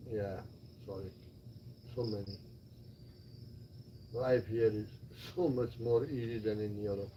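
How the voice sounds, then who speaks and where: A man speaks at a fairly slow pace with long, frequent pauses. The room echo is audible. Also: fairly low pitch for a man. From Belgium (Flanders). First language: Flemish. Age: 60s. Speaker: retired expat. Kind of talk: casual chat. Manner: animated.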